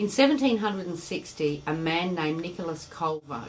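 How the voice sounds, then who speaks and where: Audible room echo and noticeable background noise surround a woman speaking in a very deep, low voice with an Australian accent. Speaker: spiritual teacher. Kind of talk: lecture.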